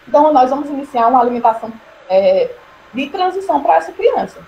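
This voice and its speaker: Noticeable background noise fills the recording. Over it, a woman's pitch swings very widely. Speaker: nursing lecturer. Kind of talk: online lecture. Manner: fast.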